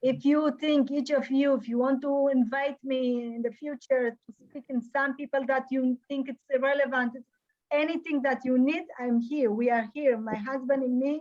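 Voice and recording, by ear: High female pitch with a slightly mellow tone, fairly even intonation and a moderate pace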